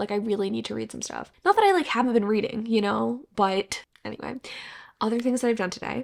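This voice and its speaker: A woman is speaking. Her pace is fairly quick. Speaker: booktuber vlogger. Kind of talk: casual vlog. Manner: fast.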